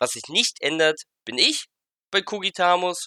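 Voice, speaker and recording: The man's bright, sharp tone comes through in a dry, close sound with no echo. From Germany, Halberstadt (Saxony-Anhalt). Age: 30s. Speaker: podcast host. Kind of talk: solo podcast monologue.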